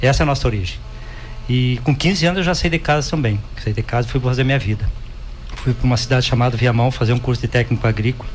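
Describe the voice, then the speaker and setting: A man rattles along at a very fast pace with very even loudness, noticeable background noise behind him. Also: medium pitch for a man, ordinary pitch variation. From Rio Grande do Sul, Brazil (rural). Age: 60s. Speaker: cooperative executive. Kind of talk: podcast interview.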